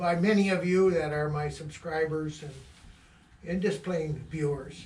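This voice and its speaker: A man with an American accent talks at a fairly slow pace, and audible room echo surrounds his voice. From Michigan, Midland County. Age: 70s. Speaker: trapper. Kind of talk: casual monologue. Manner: halting.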